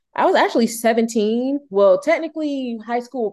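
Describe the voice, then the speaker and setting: Against a quiet background, a woman talks at a moderate pace in an animated tone. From US South, Durham, North Carolina. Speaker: podcast guest. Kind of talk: casual chat. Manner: animated, laughs often.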